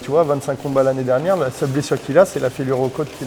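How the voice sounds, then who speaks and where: A man at a very fast pace and medium pitch, with noticeable background noise. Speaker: muay thai coach. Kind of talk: casual chat. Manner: loud; animated.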